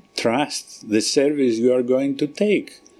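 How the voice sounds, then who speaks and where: This man speaks with a Greek accent. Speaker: research scientist. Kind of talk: radio interview. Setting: live broadcast at research centre. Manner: halting.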